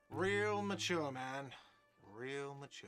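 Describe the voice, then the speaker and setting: Faint music plays behind a man shouting in a whiny, put-on character voice at a medium pitch with lively intonation. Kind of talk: casual. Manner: sarcastic, shouting.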